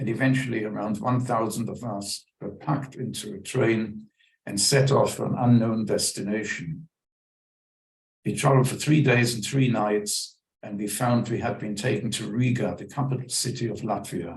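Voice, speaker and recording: At a moderate pace, a man speaks with a somewhat breathy voice of medium pitch and ordinary pitch variation. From Germany. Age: 90s. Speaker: Holocaust survivor. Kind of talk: testimony.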